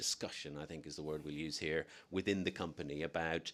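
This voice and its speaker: Fairly quick in pace, a man talks in a very deep, low voice with fairly even intonation. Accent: Dublin. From Ireland, Dublin. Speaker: newspaper editor. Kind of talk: interview answer.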